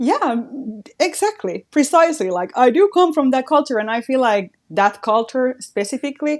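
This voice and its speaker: With a Finnish accent, a woman speaks at a moderate pace in a high voice with very wide pitch swings against a quiet background. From Finland. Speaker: radio host and creator. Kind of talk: casual interview chat.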